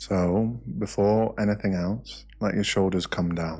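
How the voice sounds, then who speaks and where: Over music in the background, a man speaks very slowly in a very deep, low voice with ordinary pitch variation. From British. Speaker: meditation guide. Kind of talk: guided meditation. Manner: soft-spoken, slow.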